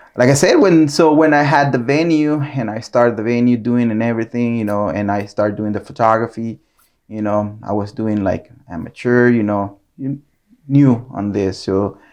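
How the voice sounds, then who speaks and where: Speaking with a Nicaraguan accent, a man talks at a moderate pace and a medium pitch. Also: ordinary pitch variation. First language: Spanish. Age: 40s. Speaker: photographer. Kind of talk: casual interview. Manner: hesitant, many fillers.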